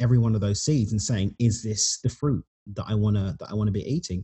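Delivered at a fairly quick pace, the voice is somewhat breathy with a dark, mellow tone and ordinary pitch variation. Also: man. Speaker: author and podcaster. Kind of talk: casual interview chat.

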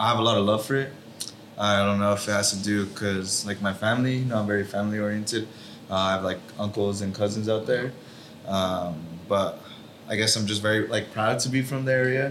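A fairly quick American-accented man with a fairly low pitch and fairly even intonation, amid noticeable background noise and audible room echo. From Watsonville, California. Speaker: professional footballer. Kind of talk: casual interview chat. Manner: halting, many fillers.

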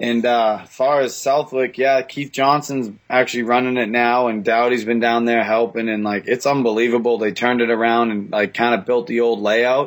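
Moderate pace, hardly any pauses, monotone, flat intonation and a Boston accent. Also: man, medium pitch for a man. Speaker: motocross track operator. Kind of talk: casual chat. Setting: remote call.

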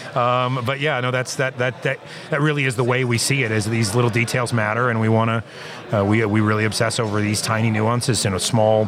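Amid noticeable background noise, a man with an American accent and medium pitch speaks at a very fast pace with very even loudness. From California, Central Valley. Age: 40s. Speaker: winemaker. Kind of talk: casual interview. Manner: halting.

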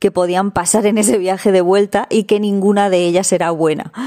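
Her tone is dark and mellow, at medium pitch for a woman. She speaks at a fairly quick pace with fairly even intonation. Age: 30s. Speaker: van-life traveler. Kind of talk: recorded testimony.

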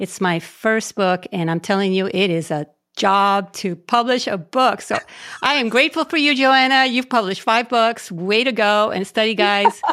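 A woman speaks in a bright, sharp tone at a fairly high pitch, with lively intonation at a moderate pace. The recording is very clean, with a silent background. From Puerto Rico. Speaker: pastor and author. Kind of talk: interview.

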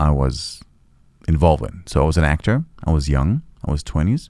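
A man is speaking here. His pitch is very deep and low. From Israel. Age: 40s. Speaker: real estate developer. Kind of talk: interview.

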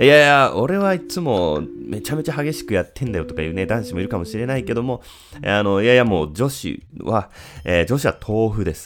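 A man talks in a relaxed, calm tone, with very wide pitch swings. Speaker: podcast host. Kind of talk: solo podcast talk answering listener mail. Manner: relaxed, calm pace; many filler words.

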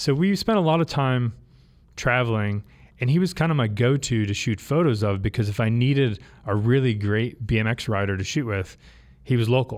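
Recorded very cleanly against a silent background, a man with an unremarkable speaking voice talks at a medium pitch and fairly quick pace, with ordinary pitch variation. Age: 40s. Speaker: bike company co-founder. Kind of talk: interview. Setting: studio.

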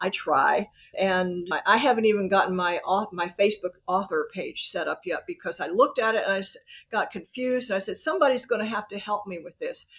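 A woman talks at a fairly quick pace in a Southern US accent. Her intonation is lively, and her loudness swings widely. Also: medium pitch for a woman. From US South, Birmingham, Alabama. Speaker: author. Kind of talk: interview.

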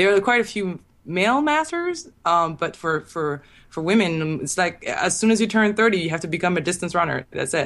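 Here a woman with a normal speaking voice talks at a fairly low pitch and a moderate pace. Her intonation is lively, and the background is quiet. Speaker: sprinter. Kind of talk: casual interview.

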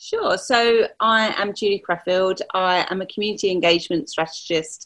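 The woman has an unremarkable speaking voice. Her pitch sits in the middle range with ordinary variation. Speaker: community engagement strategist and business mentor. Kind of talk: interview conversation.

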